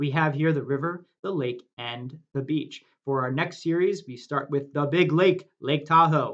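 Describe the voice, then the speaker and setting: At a fairly slow pace, a man speaks with a fairly high pitch and a slight New Jersey accent. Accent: slight New Jersey accent on some words. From US Northeast, New Jersey. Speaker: meditation guide. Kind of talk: guided meditation. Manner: soft-spoken.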